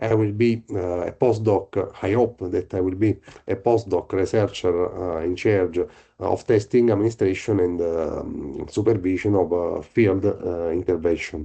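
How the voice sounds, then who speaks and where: A man with an Italian accent speaks at a fairly slow pace in a fairly low pitch, his somewhat breathy voice dark and mellow in tone, with fairly even intonation over a quiet background. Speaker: researcher. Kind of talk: presentation. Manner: halting.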